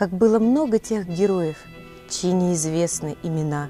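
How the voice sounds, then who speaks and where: Over music in the background, a woman talks at a very slow pace with a medium pitch and lively intonation. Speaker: TV presenter. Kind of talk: poetry reading.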